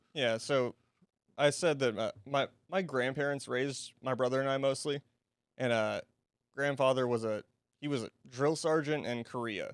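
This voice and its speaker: A man at medium pitch and moderate pace, with fairly even intonation, long, frequent pauses, and a dry, close sound with no echo. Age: 20s. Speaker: podcast guest. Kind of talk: casual podcast conversation.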